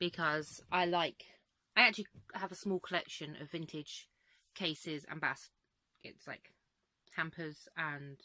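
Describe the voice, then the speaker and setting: In an English accent, a woman with a fairly low pitch and a bright, sharp tone speaks with fairly even intonation, big swings in loudness, and long, frequent pauses. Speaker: crochet vlogger. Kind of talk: casual vlog. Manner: chatty; fast.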